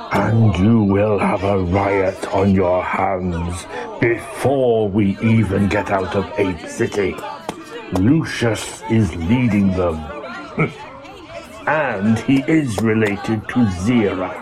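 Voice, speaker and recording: Over clear music in the background, a man uses a put-on character voice with a fairly low pitch, very even loudness and a very slow pace. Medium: audio drama. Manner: dry, measured.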